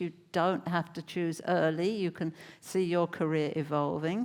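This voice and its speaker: This woman speaks with an English accent. The recording is very clean, with a silent background. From England. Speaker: neuroscientist. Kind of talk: panel discussion.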